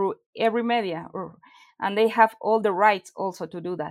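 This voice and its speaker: On a very clean recording with a silent background, a woman speaks in a Spanish accent with ordinary pitch variation. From Mexico. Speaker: animation creator and studio co-founder. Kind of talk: interview.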